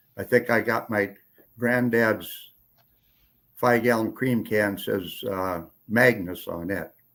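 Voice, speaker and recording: A medium-pitched man with an Upper Midwest accent and fairly even intonation, on a very clean recording with a silent background. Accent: Upper Midwest rural. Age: 80s+. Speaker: retired rancher. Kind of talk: casual chat. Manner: halting.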